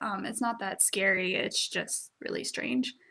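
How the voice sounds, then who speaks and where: Somewhat breathy, a woman speaks at a fairly slow pace. The recording is very clean, with a silent background. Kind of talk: casual talk to camera. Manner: casual, hesitant.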